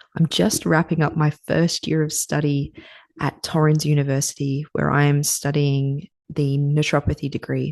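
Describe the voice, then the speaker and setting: A soft-spoken woman with an Australian accent, very deep and low in pitch, at a moderate pace with very even loudness, fairly even intonation and a dry, close sound with no echo. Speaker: podcast host, naturopathy student. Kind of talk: casual solo podcast talk. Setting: home at night, kids' bedtime. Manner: quiet, soft.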